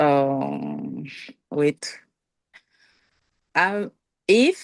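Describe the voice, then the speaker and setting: A woman with a Haitian accent is heard in a dry, close sound with no echo. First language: Haitian Creole. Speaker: student. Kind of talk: class question. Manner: halting.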